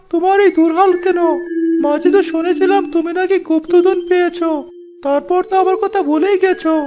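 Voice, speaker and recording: A cartoonish character voice at a moderate pace over clear background noise. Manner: mocking, haggling.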